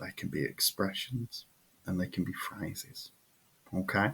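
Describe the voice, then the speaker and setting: This man speaks at a very slow pace with a British accent. His voice is fairly low and somewhat breathy, with ordinary pitch variation. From United Kingdom. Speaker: English teacher. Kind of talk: tutorial; sales pitch.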